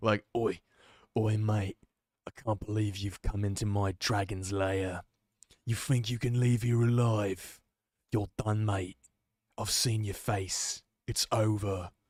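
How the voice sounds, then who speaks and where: A man's put-on character voice, fairly low in pitch, at a fairly slow pace with long, frequent pauses, on a very clean recording with a silent background. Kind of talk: casual bloke voice. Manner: threatening.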